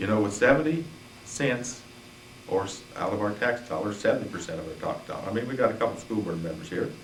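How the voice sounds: A man with a fairly low voice talks fast and with lively intonation, and the room echo is audible.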